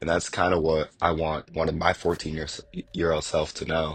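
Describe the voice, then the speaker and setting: A raspy man in a put-on character voice, very deep and low-pitched, with monotone, flat intonation at a moderate pace. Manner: stuttering.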